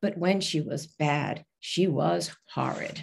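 A woman speaks at a very slow pace in a very deep, low voice with vocal fry against a quiet background. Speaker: poet. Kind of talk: poem reading. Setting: video call. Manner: measured, expressive reading. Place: home room. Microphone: video call.

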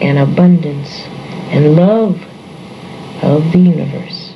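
Noticeable background noise and audible room echo surround a woman who speaks with an American accent at a fairly slow pace, fairly low in pitch with ordinary pitch variation. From New York City. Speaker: psychology lecturer. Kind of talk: reading aloud of affirmations. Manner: calm, measured.

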